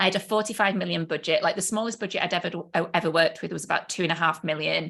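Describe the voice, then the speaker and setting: Speaking at a very fast pace, a woman with a fairly low pitch has a bright, sharp tone and vocal fry. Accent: British. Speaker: business coach. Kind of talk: live online training. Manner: animated.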